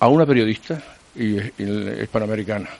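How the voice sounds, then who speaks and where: Ordinary pitch variation marks a man's speech, which moves at a fairly slow pace. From Canary Islands (Teror, Gran Canaria). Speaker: retired radio journalist. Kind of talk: casual interview.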